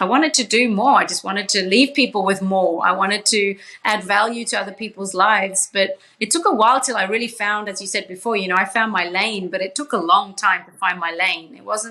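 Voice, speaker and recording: Noticeable background noise sits behind a woman with a slight Australian accent. She speaks at a medium pitch and a fairly quick pace, with ordinary pitch variation and hardly any pauses. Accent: slight Australian twang. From Papua New Guinea, Swiss parents. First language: Pidgin English and English, Swiss family. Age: 40s. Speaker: social entrepreneur, charity founder. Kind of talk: podcast interview.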